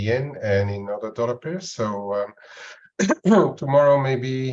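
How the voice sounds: A man speaks with audible room echo around him.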